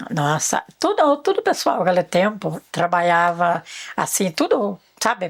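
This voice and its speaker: In a very clean recording with a silent background, a woman talks fairly slowly with a fairly low pitch. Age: 60s. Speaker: rural elder. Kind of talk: life story interview. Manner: halting.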